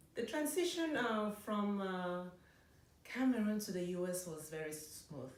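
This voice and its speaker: Speaking at a fairly slow pace, a woman with a medium-pitched voice makes very wide pitch swings. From Cameroon. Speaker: dentist. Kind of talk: interview answer. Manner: conversational, hesitant.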